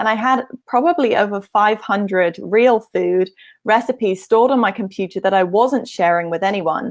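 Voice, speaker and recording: A woman with a British accent speaks at a moderate pace and medium pitch, with ordinary pitch variation. The recording is very clean, with a silent background. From UK. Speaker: nutrition practitioner and blogger. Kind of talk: interview. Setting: live stream video.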